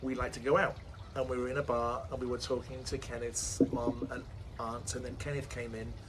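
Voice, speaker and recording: A man speaks with an English accent at a medium pitch. His voice is somewhat breathy, with fairly even intonation. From England. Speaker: entrepreneur and author. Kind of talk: interview. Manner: halting.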